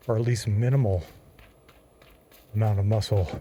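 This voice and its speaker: Somewhat breathy and dark, mellow in tone, a man talks at a fairly quick pace with a medium pitch. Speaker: gaming fitness vlogger. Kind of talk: gameplay commentary while exercising. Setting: pedaling an exercise cycle while gaming.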